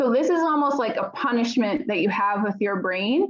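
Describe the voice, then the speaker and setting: A woman speaks at a moderate pace in a plain, everyday voice, her pitch fairly high. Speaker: teacher. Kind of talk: lecture.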